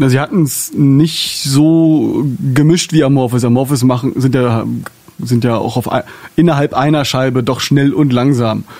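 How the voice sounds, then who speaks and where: At a fairly slow pace, a man talks at a medium pitch with very even loudness and fairly even intonation. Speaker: podcast host. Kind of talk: casual interview. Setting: studio.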